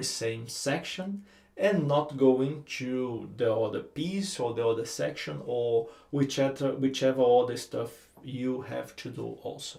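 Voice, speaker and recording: A man with a Brazilian accent, fairly high in pitch and somewhat breathy, at a very slow pace with lively intonation. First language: Portuguese. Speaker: guitar teacher. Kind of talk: tutorial. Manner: halting.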